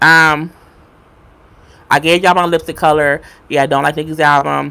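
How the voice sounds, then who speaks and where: Very deep and low in pitch, a woman's bright, sharp voice with a New York accent holds a monotone, flat intonation on a very clean recording with a silent background. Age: 30s. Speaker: YouTuber. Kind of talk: live stream chat. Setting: live stream. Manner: fast.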